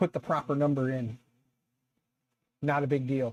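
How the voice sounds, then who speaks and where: A man's relaxed voice, dark and mellow in tone. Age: 40s. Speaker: YouTube 3D printing streamer. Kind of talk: casual live stream chat. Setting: live stream with webcam. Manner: conversational, relaxed.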